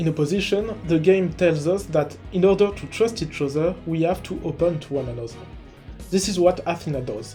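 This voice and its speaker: A man with a high voice at a fairly quick pace, ordinary pitch variation, and music in the background. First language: not English. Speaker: video game analysis YouTuber. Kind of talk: video essay narration.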